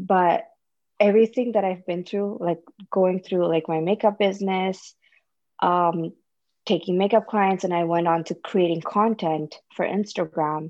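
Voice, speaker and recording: A plain, everyday voice from a woman, medium in pitch, fairly slow, with fairly even intonation. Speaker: podcast guest, mother of two. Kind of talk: casual chat.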